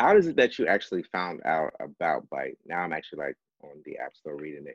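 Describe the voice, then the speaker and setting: A very deep, low male voice, dry and close with no echo. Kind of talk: group discussion.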